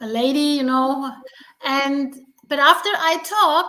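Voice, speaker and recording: Projecting her voice, a woman speaks at a high pitch and a fairly slow pace. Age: 50s. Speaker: stuttering advocate. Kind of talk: interview. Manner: stuttering; halting.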